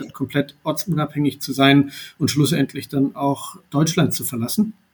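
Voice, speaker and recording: A somewhat breathy, fairly high male voice, fairly even in intonation, at a moderate pace. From Baden-Württemberg, southwest Germany. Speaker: entrepreneur. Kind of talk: podcast interview. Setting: remote recording.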